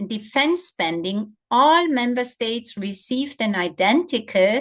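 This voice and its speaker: A woman talks in a normal speaking voice with lively intonation. Her pace is fairly slow. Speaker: policy researcher presenting on gender budgeting. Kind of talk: webinar presentation.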